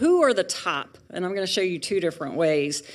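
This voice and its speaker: On a very clean recording with a silent background, a woman with a Southern US accent speaks at a moderate pace and a medium pitch. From US South. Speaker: pharmaceutical industry speaker. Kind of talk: lecture. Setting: auditorium with audience.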